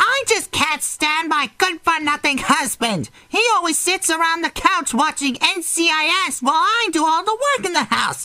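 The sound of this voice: A female-sounding voice is put on as a character, extremely high in pitch and at a moderate pace. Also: hardly any pauses.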